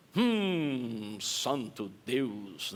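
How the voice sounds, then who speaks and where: Using a put-on character voice, a man speaks at a medium pitch in a solemn tone with very wide pitch swings. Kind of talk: prayer. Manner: solemn, showy piety.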